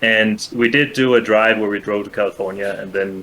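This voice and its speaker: In a Danish accent, a man with a fairly low pitch and a bright, sharp tone speaks at a moderate pace with monotone, flat intonation. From Denmark, Copenhagen. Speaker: guest, former speedrun streamer. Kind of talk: casual chat.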